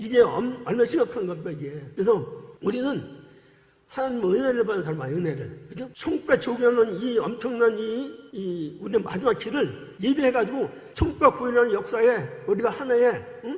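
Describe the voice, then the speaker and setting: An extremely high-pitched man, lively in intonation, at a fairly quick pace, with big swings in loudness and noticeable background noise. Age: 60s. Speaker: former cult member giving testimony, church deacon. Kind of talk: testimony. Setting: church service. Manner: animated.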